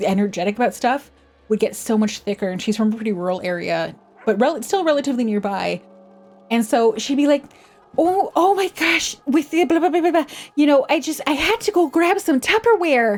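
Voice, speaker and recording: Over noticeable background noise, a woman with a high pitch talks at a fairly quick pace with very wide pitch swings. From Canada, West Coast. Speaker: vtuber streamer. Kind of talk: casual livestream chat. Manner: casual, conversational.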